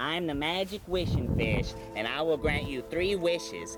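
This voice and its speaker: Over clear music in the background, a man puts on a character voice with a fairly high pitch. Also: moderate pace. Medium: solo performance.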